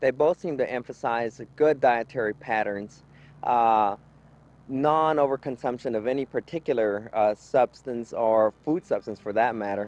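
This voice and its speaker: Recorded in a dry, close sound with no echo, a man at medium pitch talks at a moderate pace in an ordinary speaking voice with ordinary pitch variation. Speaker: gerontology worker. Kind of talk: interview answer.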